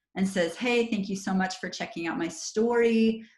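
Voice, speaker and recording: A woman's voice comes across somewhat breathy. She talks at a moderate pace with ordinary pitch variation. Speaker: network marketing trainer. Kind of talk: online training call. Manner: animated.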